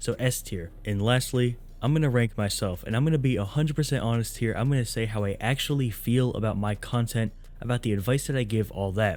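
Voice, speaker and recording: Using a plain, everyday voice, a man talks at a medium pitch and a fairly quick pace with ordinary pitch variation. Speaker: YouTuber giving music career advice to rappers. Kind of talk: casual ranking commentary to camera. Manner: laid-back, casual slang.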